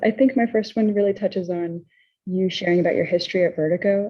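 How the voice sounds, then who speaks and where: A quiet woman with a fairly low pitch talks at a fairly quick pace. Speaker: audience member. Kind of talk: asking a question. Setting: video call from a library. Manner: speaking quietly.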